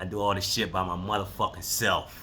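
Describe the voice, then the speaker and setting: A man speaks at a very slow pace in a bright, sharp tone. Audible room echo surrounds his voice. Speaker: podcast host and basketball coach. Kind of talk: casual monologue. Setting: livestream.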